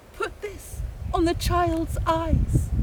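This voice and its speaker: Over loud background noise, a put-on character voice speaks at an extremely high pitch. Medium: read story.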